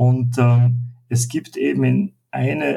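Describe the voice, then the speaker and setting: A man with an Austrian accent, medium pitch, and a dark, mellow, somewhat breathy tone. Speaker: leadership coach. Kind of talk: interview. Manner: halting.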